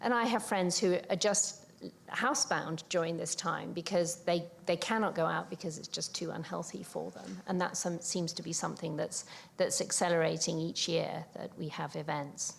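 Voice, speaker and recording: A woman with a British accent speaks at a moderate pace in a fairly low voice with vocal fry. Her pitch varies in an ordinary way. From UK. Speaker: older adult co-researcher, panelist. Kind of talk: panel talk. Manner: halting, many fillers.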